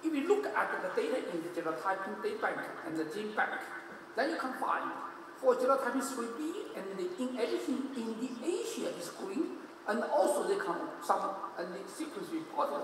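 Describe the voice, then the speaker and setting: An extremely high-pitched man speaks at a moderate pace, his pitch swinging very widely. Noticeable background noise and audible room echo fill the recording. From China. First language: Chinese. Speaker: hepatology professor giving conference talk. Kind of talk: lecture. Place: hall. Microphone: podium.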